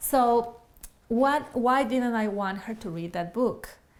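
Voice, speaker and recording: A woman speaks very slowly with an Ecuadorian accent. Her pitch is fairly high, with ordinary variation. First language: Spanish. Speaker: Spanish easy-reader author. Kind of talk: casual monologue to camera.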